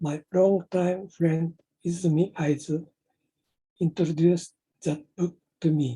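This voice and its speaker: In a Japanese accent, a man speaks fairly slowly in a high voice with a dark, mellow tone, his intonation monotone and flat, with long, frequent pauses and a dry, close sound with no echo. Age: 70s. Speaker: inventor presenting his project. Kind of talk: prepared presentation. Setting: online meetup.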